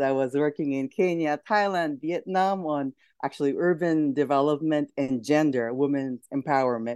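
Someone with a Japanese accent speaks at a fairly slow pace against a quiet background. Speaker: entrepreneur. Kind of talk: casual chat.

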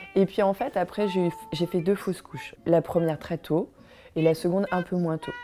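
There is music in the background as a woman talks. She keeps a moderate pace with ordinary pitch variation. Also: fairly low pitch for a woman. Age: 40s. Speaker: mother sharing personal story. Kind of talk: personal testimony. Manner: halting.

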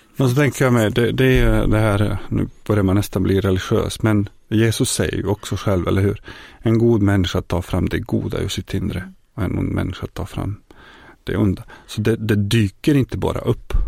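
With a Bosnian accent, a man talks at a moderate pace with ordinary pitch variation. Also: fairly low pitch for a man, very clean recording, silent background. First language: Bosnian (speaking Swedish). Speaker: folk high school teacher and former refugee. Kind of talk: interview testimony. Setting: studio.

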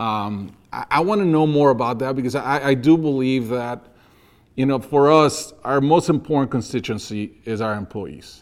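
With an American accent, a man talks at a moderate pace and medium pitch with ordinary pitch variation, an unremarkable speaking voice on a very clean recording with a silent background. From outside the US. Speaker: podcast host. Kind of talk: interview conversation.

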